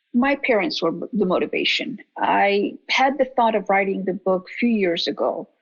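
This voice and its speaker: A woman with a fairly high pitch talks at a moderate pace in a somewhat breathy voice, with lively intonation and hardly any pauses. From Iraq (Baghdad), Kurdish family. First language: Kurdish (then Arabic). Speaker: physician. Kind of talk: interview.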